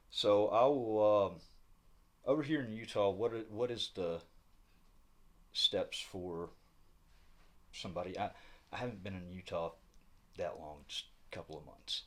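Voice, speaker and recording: With a Southern US accent, a man talks at a moderate pace with big swings in loudness and long, frequent pauses. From US South. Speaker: independent news reporter. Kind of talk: on-the-spot interview. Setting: county administrative building. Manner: halting, many fillers.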